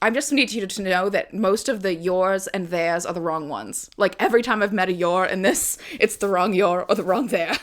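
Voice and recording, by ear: The voice here is natural. It is reading aloud.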